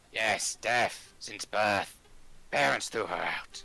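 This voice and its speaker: A man puts on a raspy character voice at a fairly low pitch. He speaks at a very slow pace. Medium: actual play. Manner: terse, clipped sentences.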